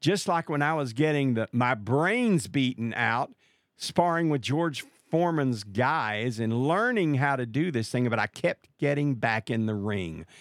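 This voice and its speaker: A man with an American accent talks at a fairly slow pace with very wide pitch swings. The recording is very clean, with a silent background. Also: dry, close sound with no echo. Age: 60s. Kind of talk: religious talk show interview with prayer. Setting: live call.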